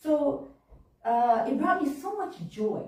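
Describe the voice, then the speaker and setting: A woman's pitch swings very widely. Audible room echo surrounds her voice. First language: Japanese. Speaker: minister. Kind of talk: sermon. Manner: conversational, informal.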